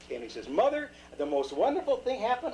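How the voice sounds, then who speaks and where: A man's speech comes very fast. Noticeable background noise sits underneath it. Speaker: grandfather telling stories. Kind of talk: fairy tale told aloud from memory to a grandchild. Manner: rambling, casual, folksy.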